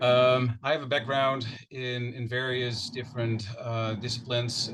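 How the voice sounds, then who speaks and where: A man speaks with a Dutch accent. Noticeable background noise and audible room echo fill the recording. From Netherlands. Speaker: wildlife agency manager. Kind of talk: self-introduction at public meeting. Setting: hybrid public meeting.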